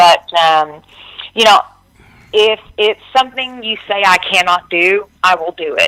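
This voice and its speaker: With a Texan accent, a woman at a medium pitch talks at a fairly slow pace in a bright, sharp tone with ordinary pitch variation, the sound dry and close with no echo. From Texas, Dallas-Fort Worth area. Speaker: singer-songwriter. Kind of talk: interview.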